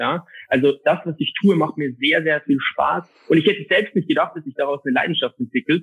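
A man at fairly high pitch with lively intonation. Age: 20s. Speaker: insurance and finance advisor. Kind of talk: interview.

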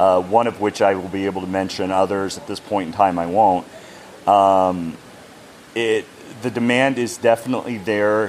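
The male speaker keeps a moderate pace and fairly even intonation. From United States. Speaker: game company brand ambassador. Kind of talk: interview.

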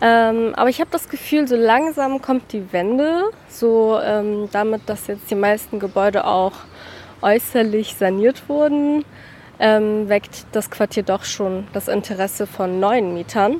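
A plain, everyday voice at a fairly slow pace with ordinary pitch variation. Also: woman, fairly high pitch for a woman. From Hamburg-Wilhelmsburg, Germany. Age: 20s. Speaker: university student, local neighbourhood guide. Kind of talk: interview on a walk. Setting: outdoors on a neighbourhood walk.

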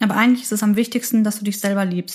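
A woman's fairly high, somewhat breathy voice with monotone, flat intonation. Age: 20s. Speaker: midwifery student and podcaster. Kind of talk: personal testimony.

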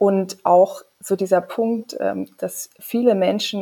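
Dry, close sound without echo carrying the dark, mellow tone of a woman. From Saxony, Leipzig. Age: 30s. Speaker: member of parliament and physician. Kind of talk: casual chat.

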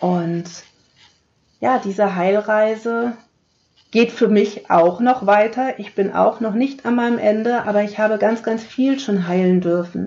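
A woman with a warm, dark, mellow tone speaks in a fairly high pitch with fairly even intonation. She talks at a fairly slow pace with long, frequent pauses. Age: 40s. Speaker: podcast host, heart-healing coach. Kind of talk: solo podcast monologue. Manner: warm, direct address to listener.

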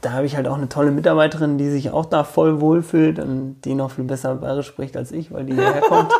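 Over noticeable background noise, a man talks at a fairly quick pace with hardly any pauses. His intonation is monotone and flat. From rural Germany, village. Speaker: bookshop owner. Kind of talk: casual interview.

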